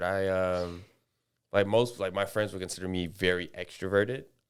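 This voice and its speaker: Very deep and low in pitch, a man with an American accent speaks at a moderate pace on a very clean recording with a silent background. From US South, Atlanta. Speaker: podcast co-host, former college athlete. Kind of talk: casual chat.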